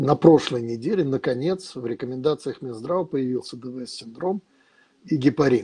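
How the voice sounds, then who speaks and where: Over a quiet background, a man with a fairly high pitch speaks at a fairly slow pace, his dark, mellow tone somewhat breathy and his pitch variation ordinary. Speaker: professor moderating medical webinar. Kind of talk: moderating a webinar. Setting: video call. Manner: hesitant, frequent filler sounds. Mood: engaged, somewhat indignant. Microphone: video call.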